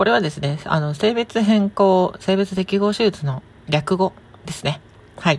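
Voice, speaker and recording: The tone is relaxed. There's a somewhat breathy quality to the voice. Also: woman, medium pitch for a woman, ordinary pitch variation. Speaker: podcast host, transgender woman answering listener questions. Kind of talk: casual solo talk. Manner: relaxed, with frequent laughs.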